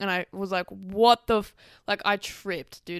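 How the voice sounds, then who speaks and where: Over a very clean recording with a silent background, a woman talks in an Australian accent. Her pitch is medium, her pace moderate, her intonation fairly even. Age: 20s. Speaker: podcast host and dancer. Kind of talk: casual solo monologue.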